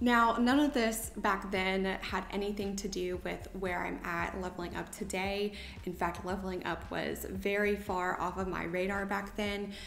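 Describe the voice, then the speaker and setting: In an American accent, a woman talks at medium pitch with fairly even intonation and hardly any pauses. The room echo is audible, and background noise is noticeable. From US South. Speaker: lifestyle vlogger. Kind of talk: casual talk to camera. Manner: careful, deliberate diction.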